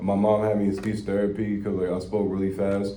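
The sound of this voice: A man speaks at a fairly quick pace with a fairly low pitch and a dark, mellow tone. His intonation is monotone and flat, and the room echo is audible.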